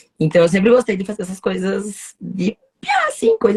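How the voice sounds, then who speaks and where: Over music in the background, a woman with a medium pitch talks at a moderate pace with ordinary pitch variation, the sound dry and close with no echo. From southern Brazil, Paraná (União da Vitória). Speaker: lawyer. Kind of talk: casual interview. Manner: talkative, energetic.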